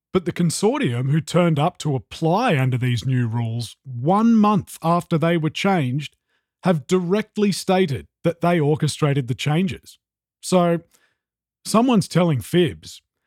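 A man with an Australian accent speaks fairly slowly with lively intonation at a fairly high pitch, on a very clean recording with a silent background and a dry, close sound with no echo. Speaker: podcast host. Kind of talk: podcast interview and analysis.

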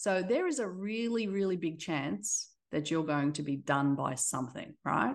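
A woman's fairly low voice at a moderate pace, with very wide pitch swings against a quiet background. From Australia. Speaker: tech company CEO. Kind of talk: interview conversation. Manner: halting, with fillers.

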